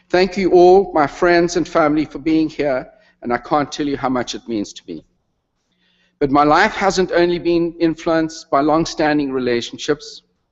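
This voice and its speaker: With a South African accent, a man speaks at a fairly high pitch and moderate pace, showing ordinary pitch variation and big swings in loudness. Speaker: retired retail executive, honorary degree recipient. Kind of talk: convocation speech.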